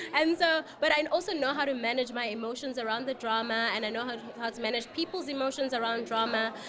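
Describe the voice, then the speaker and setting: A woman's high-pitched, animated voice with a South African accent, very fast with hardly any pauses and ordinary pitch variation, over noticeable background noise. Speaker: life coach and reality show cast member. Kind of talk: interview.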